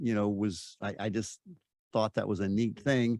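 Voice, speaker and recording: Against a quiet background, a man's voice comes through with a dry, close sound and no echo. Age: 60s. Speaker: former car dealership owner, personal development mentor. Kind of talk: interview. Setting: outdoors. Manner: halting, with many fillers and repeats.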